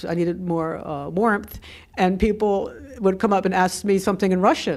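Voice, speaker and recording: A woman talks at a moderate pace and medium pitch. It is an ordinary speaking voice. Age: 60s. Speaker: adventure traveler. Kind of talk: interview answer.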